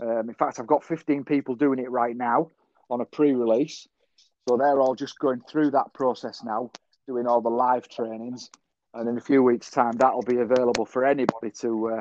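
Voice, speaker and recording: A man with a Yorkshire accent speaks at a moderate pace and medium pitch, with monotone, flat intonation. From northern England, Yorkshire (Selby). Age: 50s. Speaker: social media marketer, musician. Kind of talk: casual interview chat.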